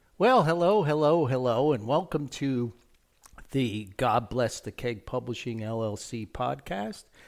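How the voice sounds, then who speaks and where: A man with a New Jersey accent, lively intonation and a fairly slow pace. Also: medium pitch for a man. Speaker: podcast host and author. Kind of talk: casual podcast intro.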